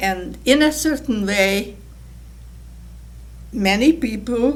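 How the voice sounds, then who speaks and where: Delivery is very slow, with lively intonation and vocal fry. The room echo is audible. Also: woman. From Hungarian-speaking Czechoslovakia. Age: 80s+. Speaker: Holocaust survivor. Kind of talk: testimony.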